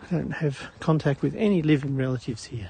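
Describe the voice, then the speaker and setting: An Australian accent carries the words. Delivery runs at a moderate speed. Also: man. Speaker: live-stream walking vlogger. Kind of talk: casual live-stream chat while walking. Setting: outdoors on a morning walk. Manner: casual, hesitant with fillers.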